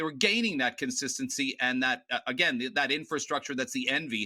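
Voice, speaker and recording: With a Canadian accent, a man speaks at a high pitch in a bright, sharp tone. His intonation is lively, and the recording is very clean with a silent background. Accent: Canadian twang. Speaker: football pundit. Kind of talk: debate.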